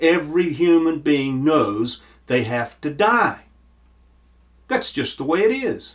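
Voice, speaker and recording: Speaking fairly slowly with an American accent, a man uses a fairly high pitch with very wide pitch swings. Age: 60s. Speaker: pastor. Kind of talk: sermon. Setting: virtual church service.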